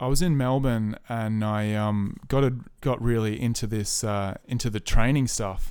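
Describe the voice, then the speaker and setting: With an Australian accent, a man speaks at medium pitch and a moderate pace, using ordinary pitch variation. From rural New South Wales, Australia. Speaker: musician and army veteran. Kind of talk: casual chat.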